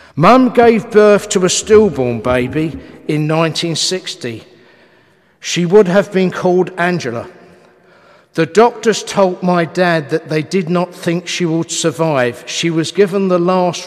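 Fairly slow speech with ordinary pitch variation over a quiet background. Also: man, high pitch for a man. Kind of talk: eulogy reading. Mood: solemn, reflective. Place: church. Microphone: podium.

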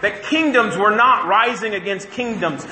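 The speech comes at a moderate pace, with audible room echo around it. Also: man. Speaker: pastor. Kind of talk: sermon. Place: church.

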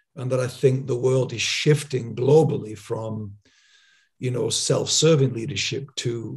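Against a quiet background, a somewhat breathy man speaks at a moderate pace with fairly even intonation. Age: 60s. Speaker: podcast host. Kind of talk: interview. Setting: video call. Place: home room. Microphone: studio mic.

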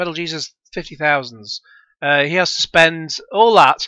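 The speaker talks at a moderate pace with a British accent. The recording is very clean, with a silent background. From UK. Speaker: gaming YouTuber reacting to a video. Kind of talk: reaction commentary. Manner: sarcastic, mocking.

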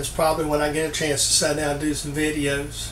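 A man's fairly quick speech amid light background noise and audible room echo. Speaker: hobby machinist channel host. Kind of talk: casual vlog chat. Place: workshop. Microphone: camera far.

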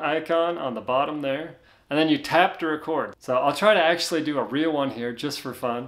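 Here a man talks at a moderate pace. The background is quiet. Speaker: tech tutorial host. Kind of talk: tutorial. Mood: relaxed, friendly. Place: home room.

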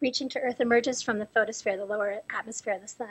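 A woman with ordinary pitch variation against a quiet background. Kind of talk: lecture. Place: hall. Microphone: podium.

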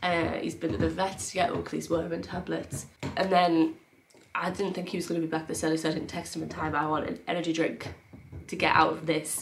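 Light background noise sits behind a woman speaking at a fairly quick pace. Her voice is fairly low and weary in tone, with fairly even intonation. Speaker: vlogger. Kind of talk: casual vlog chat. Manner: weary, unwell, low-energy voice. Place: home room. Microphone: camera far.

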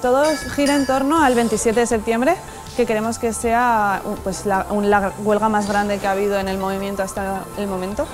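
A moderate pace over clear music in the background. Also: woman, ordinary pitch variation. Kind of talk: interview answer. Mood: earnest, concerned. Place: street. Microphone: lapel.

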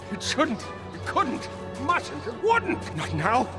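Over clear background music, a man does a put-on character voice at a slow pace, extremely high in pitch with very wide pitch swings.

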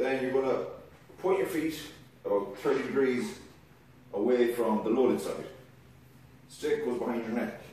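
Amid strong room echo and light background noise, a man speaks with very wide pitch swings and long, frequent pauses. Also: moderate pace. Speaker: kettlebell coach. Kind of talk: tutorial. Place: garage. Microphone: camera far.

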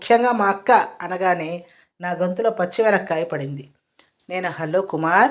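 The background stays quiet while someone is reading aloud in a natural voice.

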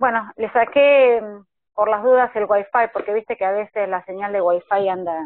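A woman speaks at a moderate pace with ordinary pitch variation. The sound is dry with no echo, over a quiet background. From Argentina, Córdoba. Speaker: live stream interviewer. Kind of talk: interview. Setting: video call. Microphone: video call.

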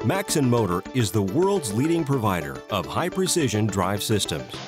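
With clear music behind him, a man speaks at a moderate pace, his pitch swinging very widely. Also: dry sound with no echo. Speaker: voice actor. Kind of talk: corporate narration. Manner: confident, clear, convincing.

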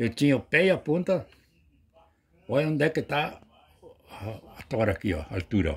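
With vocal fry and very wide pitch swings, a man talks at moderate pace and medium pitch, taking long, frequent pauses. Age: 80s+. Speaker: retired truck driver and hammer collector. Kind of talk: casual chat. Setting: at his home. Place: home room. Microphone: phone near.

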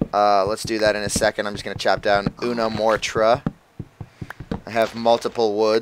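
Fairly low-pitched male voice with an American accent, monotone and flat, at a moderate pace over noticeable background noise. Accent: Connecticut, slips into slight Boston. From Connecticut, US. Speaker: gaming video host. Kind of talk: casual gameplay commentary.

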